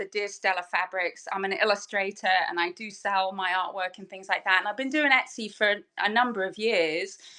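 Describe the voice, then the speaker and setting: In a strong English accent, a woman speaks at a moderate pace with a bright, sharp tone. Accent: English accent, still strong. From southern England. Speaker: fabric designer and online seller. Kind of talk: casual chat.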